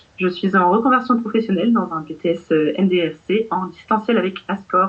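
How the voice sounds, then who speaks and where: Heard over noticeable background noise, a woman speaks at a moderate pace. Her pitch is medium, with ordinary pitch variation. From Brittany, France. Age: 20s. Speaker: vocational student. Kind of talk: testimony. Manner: hesitant, many fillers.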